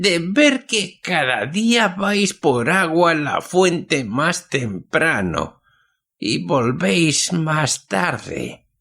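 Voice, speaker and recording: A shaky, put-on character voice moves at a very slow pace with very wide pitch swings in a very clean recording with a silent background. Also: man, high pitch for a man. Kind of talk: old-fashioned folk tale telling. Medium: read story. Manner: slow, paternal, mysterious.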